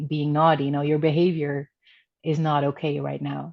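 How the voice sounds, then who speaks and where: A woman talks in a Dutch accent with a very deep, low pitch. Her intonation stays monotone and flat. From Netherlands. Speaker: spiritual coach. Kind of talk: interview. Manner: talkative.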